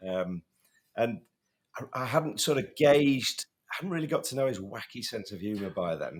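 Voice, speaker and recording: Lively intonation marks this man's speech in a northern English accent. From northern England. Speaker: safety podcast co-host. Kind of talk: casual podcast chat. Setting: in person at a conference in Chicago.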